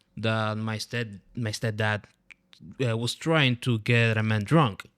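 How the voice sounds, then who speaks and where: A man with a Spanish accent speaks fairly slowly at a medium pitch. His intonation stays fairly even. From Dominican Republic. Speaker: comedian and podcast host. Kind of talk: podcast interview. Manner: halting.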